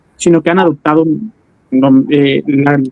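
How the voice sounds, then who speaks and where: A man talks at a moderate pace. His pitch is fairly high, with ordinary pitch variation. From Tabasco, Mexico. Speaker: podcast host. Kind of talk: interview. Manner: halting.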